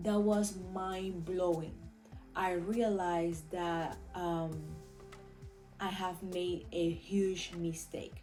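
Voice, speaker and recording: With music in the background, a woman with a Venezuelan accent speaks very slowly at a fairly low pitch, her intonation monotone and flat. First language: Spanish. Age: 20s. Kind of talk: casual talk to camera.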